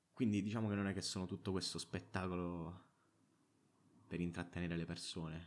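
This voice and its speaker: Very deep and low in pitch, a man talks at a very fast pace with fairly even intonation. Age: 20s. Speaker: podcaster. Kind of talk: casual monologue. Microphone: own good microphone.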